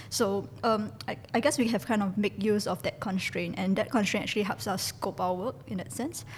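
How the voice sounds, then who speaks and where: Vocal fry runs through a woman's voice. Her intonation is lively. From Singapore. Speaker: designer. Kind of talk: interview. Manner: hesitant.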